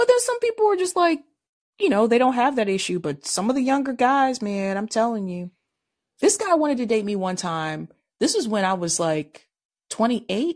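A woman speaks at a moderate pace in a fairly high voice, her pitch swinging very widely over a quiet background. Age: 30s. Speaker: podcast host. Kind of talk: casual chat.

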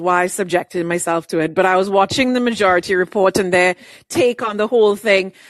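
A normal speaking voice at a moderate pace. The sound is dry and close with no echo, over a quiet background. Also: woman. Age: 30s. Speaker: caller. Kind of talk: casual chat.

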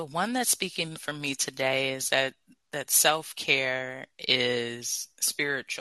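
A man with a Californian accent speaks at a very slow pace with a fairly high pitch and fairly even intonation. The sound is dry and close, with no echo. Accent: General American, Californian. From US West Coast, Los Angeles. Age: 30s. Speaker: public speaking coach. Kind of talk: interview. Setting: live audio app.

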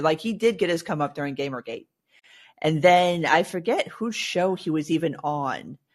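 The pace is moderate. The background is quiet. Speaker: co-host. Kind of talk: casual chat. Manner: wry, sarcastic.

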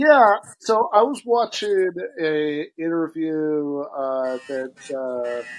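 With an American accent and lively intonation, a man talks at a very slow pace in a fairly high pitch. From Michigan. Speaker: podcast host. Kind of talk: casual chat.

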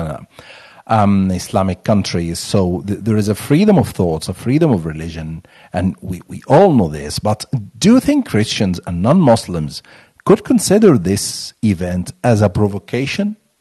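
Lively intonation marks this man's fairly low, dark, mellow voice at a moderate pace. The sound is dry and close with no echo, over a quiet background. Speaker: podcast host. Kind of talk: interview, news-style intro.

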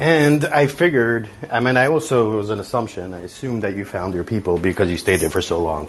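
Speaking very fast with hardly any pauses, a man with an American accent uses a fairly low pitch. His pitch swings very widely over noticeable background noise. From New York City (Far Rockaway). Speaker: caller, entrepreneur. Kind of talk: casual chat.

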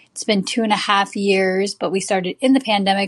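A woman speaks with medium pitch and fairly even intonation in an unremarkable speaking voice. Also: dry, close sound with no echo. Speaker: film/TV producer and artist. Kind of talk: interview, storytelling. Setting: online live show.

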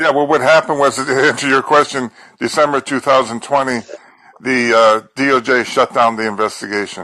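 Bright and sharp in tone, a man speaks at a medium pitch with ordinary pitch variation. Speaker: caller. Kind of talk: casual chat.

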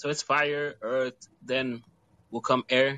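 At a very slow pace, a man with a medium pitch speaks in a bright, sharp tone against a quiet background. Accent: American. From Utah. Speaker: rapper. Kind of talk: casual chat.

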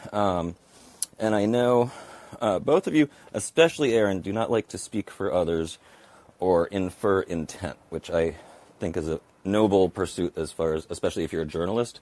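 With long, frequent pauses, a man speaks at a fairly low pitch using lively intonation. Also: moderate pace. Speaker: caller. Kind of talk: phone call-in.

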